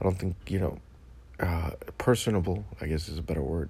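A man talks at a moderate pace with lively intonation and an animated tone. Vocal fry runs through his voice. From Dominican heritage. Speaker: podcast host. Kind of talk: comedic political rant.

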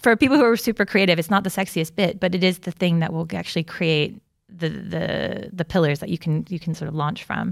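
The speaker has an American accent, vocal fry and ordinary pitch variation, talking at a fairly quick pace with hardly any pauses. The recording is very clean, with a silent background. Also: woman, fairly low pitch for a woman. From United States. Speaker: creative business consultant. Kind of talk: casual chat.

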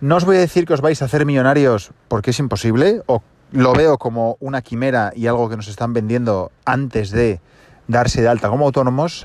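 A man with a normal speaking voice talks at a fairly quick pace, his pitch medium and its variation ordinary. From Asturias, Spain. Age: 30s. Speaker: podcast host. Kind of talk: casual monologue. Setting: in a car.

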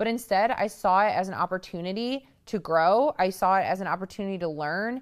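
At a fairly quick pace, a woman with an ordinary speaking voice talks with hardly any pauses and ordinary pitch variation. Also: medium pitch for a woman. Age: 30s. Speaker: podcast host. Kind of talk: solo talk to listeners.

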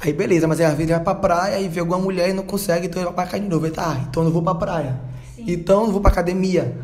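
Through audible room echo and noticeable background noise, a man talks at a very fast pace in a high voice with fairly even intonation. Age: 20s. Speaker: church youth group leader. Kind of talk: casual discussion podcast.

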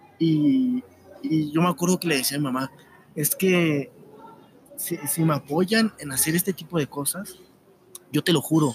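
With a Mexican accent, a man talks at a fairly slow pace in a fairly high voice with lively intonation. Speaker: YouTube narrator. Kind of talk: casual interview.

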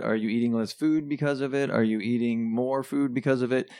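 On a very clean recording with a silent background, a man with an unremarkable speaking voice talks fairly quickly at a medium pitch, with ordinary pitch variation. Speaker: musician and friend interviewing the host. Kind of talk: casual interview chat. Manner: friendly, easygoing, interjecting with agreement.

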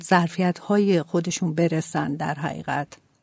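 Against a quiet background, a woman speaks very slowly with ordinary pitch variation. Her tone is dark and mellow, and the sound is dry and close with no echo. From Iran, Qazvin. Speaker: NGO co-founder. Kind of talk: interview.

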